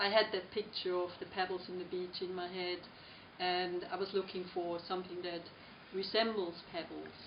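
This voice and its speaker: Noticeable background noise surrounds a woman speaking at a moderate pace. Her medium-pitched voice stays monotone and flat. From Switzerland. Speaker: artist. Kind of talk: interview. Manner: halting, many fillers.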